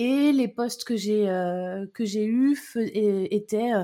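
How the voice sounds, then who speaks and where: Fairly high pitch from a woman with a plain, everyday voice and ordinary pitch variation, on a very clean recording with a silent background. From Brittany, France. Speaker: entrepreneur and podcaster. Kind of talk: casual conversation.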